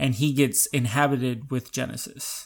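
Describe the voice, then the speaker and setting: A man of medium pitch, with fairly even intonation, talks in an ordinary speaking voice. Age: 20s. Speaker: podcast co-host. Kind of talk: casual chat.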